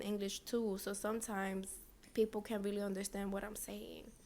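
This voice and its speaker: This woman talks very fast, her pitch sitting fairly high. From Dominican Republic. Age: 20s. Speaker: nail technician and podcaster. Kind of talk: casual vlog monologue. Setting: her business suite.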